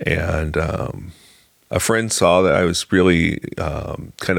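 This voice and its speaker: A man speaks with an American accent. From US Midwest, rural Illinois. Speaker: journalist. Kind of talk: interview testimony. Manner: halting, many fillers.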